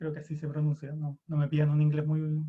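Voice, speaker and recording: A man with a Chilean accent speaks at a moderate pace in a fairly high pitch. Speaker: psychology lecturer. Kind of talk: lecture.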